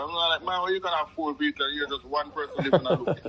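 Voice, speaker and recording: A man talks with a Jamaican accent. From Jamaica, Kingston. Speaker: correctional officer. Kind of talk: interview. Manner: halting.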